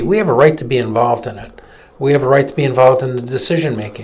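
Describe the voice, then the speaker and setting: A man with an American accent talks at a very fast pace and medium pitch, with audible room echo and noticeable background noise behind him. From Michigan, Flint. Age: 60s. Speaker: political activist and attorney. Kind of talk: opinion commentary; casual chat. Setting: live webcast studio.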